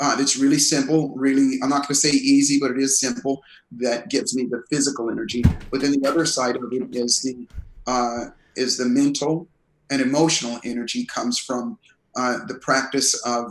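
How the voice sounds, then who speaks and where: At a moderate pace, a man speaks in a plain, everyday voice of medium pitch, with fairly even intonation. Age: 60s. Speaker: performance coach and author. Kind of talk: interview.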